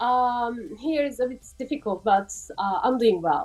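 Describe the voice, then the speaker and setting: A woman's high-pitched voice with a Turkish accent, at a fairly slow pace. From Turkey. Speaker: actress. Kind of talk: interview. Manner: halting.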